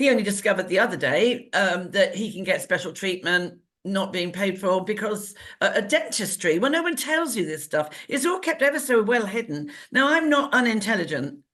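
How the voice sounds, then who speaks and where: Animated in tone, a woman with an English accent talks at a fairly quick pace and medium pitch with very wide pitch swings. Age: 60s. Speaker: talk show co-host. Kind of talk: casual chat.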